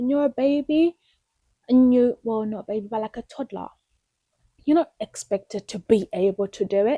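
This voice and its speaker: With long, frequent pauses, a woman speaks in a high pitch and dark, mellow tone, the sound dry and close with no echo. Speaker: vlogger. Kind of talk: casual chat. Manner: halting.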